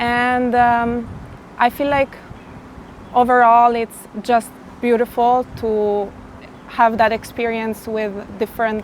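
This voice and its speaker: There is noticeable background noise behind this woman. She speaks at a very slow pace with a fairly high pitch. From Italy. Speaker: interviewee, Albanian immigrant. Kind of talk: interview. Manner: hesitant with fillers.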